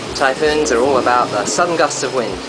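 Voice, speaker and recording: There is music in the background as a man speaks. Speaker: resident reporting weather. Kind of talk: casual vlog chat. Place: home room. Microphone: phone near.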